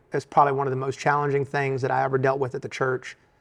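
A fairly high-pitched man with an American accent against a quiet background. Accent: Southern US, sounds like Alabama. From US South, Richmond, Virginia. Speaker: bivocational pastor and bank executive. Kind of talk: casual interview chat.

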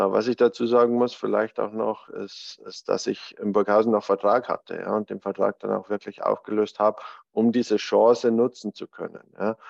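Recorded dry and close with no echo, a man talks at a moderate pace and hardly pauses. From Bavarian Alpine foothills, Germany. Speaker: podcast co-host, former college soccer goalkeeper. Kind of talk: casual chat.

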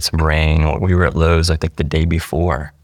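With an American accent, a man speaks in a very deep, low pitch. Noticeable background noise runs behind him. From East Central Ohio, US. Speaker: church member, hurricane flood survivor. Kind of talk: interview storytelling.

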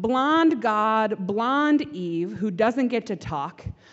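Lively intonation from a woman at a fairly high pitch and a very slow pace. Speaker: pastor. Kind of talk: sermon. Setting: church.

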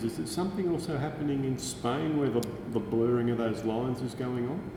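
Speech at a very fast pace with ordinary pitch variation comes through noticeable background noise and audible room echo. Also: man. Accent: Australian. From Australia. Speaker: podcast host. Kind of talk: interview. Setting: university building.

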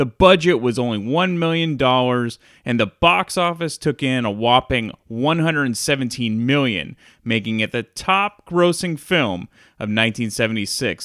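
At a very slow pace, a man talks in a medium pitch with lively intonation. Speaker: podcast host. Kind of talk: film commentary.

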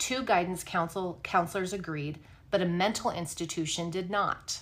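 A woman with an unremarkable speaking voice and a fairly low pitch speaks at a fairly quick pace, her pitch varying in an ordinary way. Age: 40s. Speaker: true crime podcast host. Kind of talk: casual chat; reading notes aloud.

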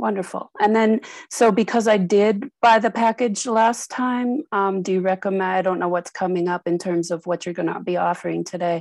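A woman in a normal speaking voice, medium pitch and ordinary pitch variation, at a moderate pace with a dry, close sound and no echo. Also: hardly any pauses, quiet background. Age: 50s. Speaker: caller. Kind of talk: testimony.

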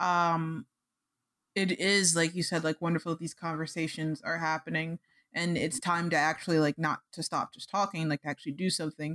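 Speech at a moderate pace comes through a very clean recording with a silent background, dry and close with no echo. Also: woman. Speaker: podcast co-host. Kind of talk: casual chat.

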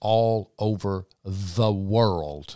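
Speaking with a Mississippi accent, a man uses a fairly low pitch on a very clean recording with a silent background. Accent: US Southern (Mississippi). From South Mississippi. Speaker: parade founder and event organizer. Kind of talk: casual interview.

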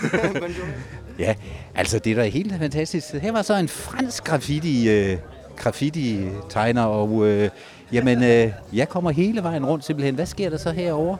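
Against noticeable background noise, the speaker moves at a fairly slow pace with very wide pitch swings. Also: man, fairly high pitch for a man. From Denmark, Ribe (southwest Jutland). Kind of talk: live field reporting with street interviews. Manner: animated.

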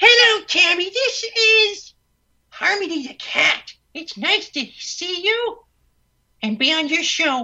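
In a put-on character voice, the speaker uses an extremely high pitch at a fairly slow pace.

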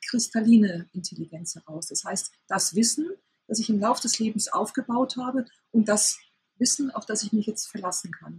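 Recorded with a dry, close sound and no echo, a woman talks at a moderate pace. Her voice is fairly high and somewhat breathy, with ordinary pitch variation. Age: 50s. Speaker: sex therapist and author. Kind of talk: interview.

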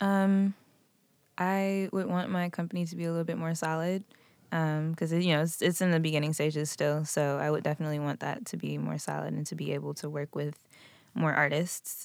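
Fairly even intonation carries this fairly quick delivery. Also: woman, very deep, low pitch for a woman. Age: 20s. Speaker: singer-songwriter. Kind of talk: casual chat.

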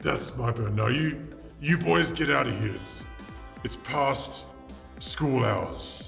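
A man's put-on character voice at medium pitch, a very slow pace with long, frequent pauses, and clear music in the background. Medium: actual play. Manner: gruff, curt, bossy.

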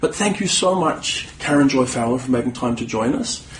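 A man speaks at a fairly high pitch. Noticeable background noise runs beneath him. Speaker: podcast host. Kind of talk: casual interview. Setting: convention, recorded live.

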